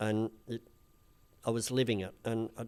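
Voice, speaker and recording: A man at medium pitch in a very clean recording with a silent background. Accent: strong Australian. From Australia, rural Victoria. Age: 50s. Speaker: influencer and comedian. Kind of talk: casual chat.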